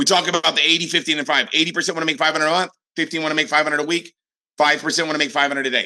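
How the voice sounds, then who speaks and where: Very fast and animated, a man talks in a fairly high pitch. His tone is bright and sharp. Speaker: network marketing trainer. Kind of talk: motivational training talk. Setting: group call.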